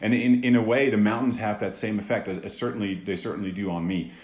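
A fairly low-pitched man with fairly even intonation and audible room echo. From Netherlands, Amsterdam. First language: Dutch. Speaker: business executive. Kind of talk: interview. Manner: halting, many repeated words.

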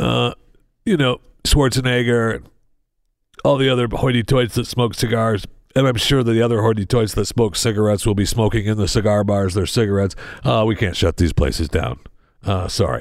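A normal speaking voice from a man, fairly quick in pace, ordinary in pitch variation. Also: fairly low pitch for a man. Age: 60s. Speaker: radio host. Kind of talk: casual chat. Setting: studio.

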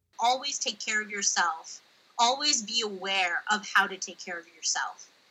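Speaking in a normal speaking voice with an American accent, a woman keeps a moderate pace and fairly high pitch with ordinary pitch variation. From United States. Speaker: linguistic anthropologist. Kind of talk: interview. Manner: frequent um and uh fillers.

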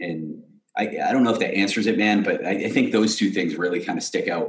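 A man talks at a moderate pace with an American accent. Some room echo can be heard. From Massachusetts, south of Boston. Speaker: hockey equipment entrepreneur and charity founder. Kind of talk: casual interview.

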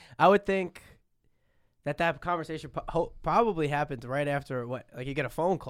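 A normal speaking voice at a fairly quick pace, in a very clean recording with a silent background. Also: man, fairly high pitch for a man, ordinary pitch variation. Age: 20s. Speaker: podcast co-host. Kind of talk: casual chat.

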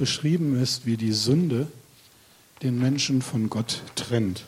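A somewhat breathy man at a very slow pace, with ordinary pitch variation. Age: 50s. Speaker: lay preacher. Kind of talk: sermon.

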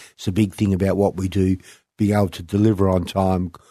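Over a quiet background, a man with an Australian accent talks in a very deep, low pitch with monotone, flat intonation, the sound dry and close with no echo. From Western Australia, country town. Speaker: property developer. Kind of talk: interview. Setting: radio studio.

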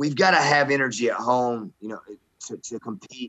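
With a Southern US accent, a man talks at a medium pitch in a bright, sharp tone with fairly even intonation. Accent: Southern American. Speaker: high school basketball coach. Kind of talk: casual sports talk.

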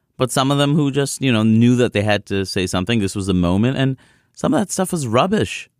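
In a very clean recording with a silent background and a dry, close sound with no echo, a man with an American accent talks at a fairly quick pace in a plain, everyday voice at medium pitch, his loudness very even. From New York City (Queens). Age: 30s. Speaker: comedian. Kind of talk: interview conversation.

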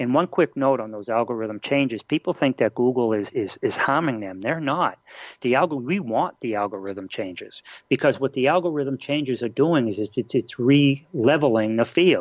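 With a Boston accent, a man speaks at a moderate pace and medium pitch with lively intonation, in a dry, close sound with no echo and a quiet background. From Boston, Massachusetts. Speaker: internet marketing expert. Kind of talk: interview. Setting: radio show.

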